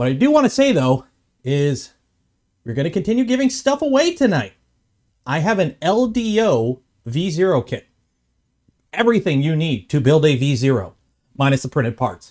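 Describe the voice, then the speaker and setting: A man at a moderate pace with long, frequent pauses, over a quiet background. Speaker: livestream host. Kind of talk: casual livestream chat. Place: workshop.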